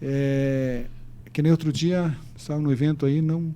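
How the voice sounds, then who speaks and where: His voice sits fairly high for a man, yet the tone comes across dark and mellow. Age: 70s. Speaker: mayor. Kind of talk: interview. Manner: halting.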